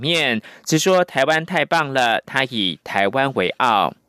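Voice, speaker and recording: A man's bright, sharp voice with a Taiwanese accent at a very slow pace, with lively intonation, in a very clean, silent recording with a dry, close sound and no echo. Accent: Taiwanese Mandarin. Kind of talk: news reading. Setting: studio.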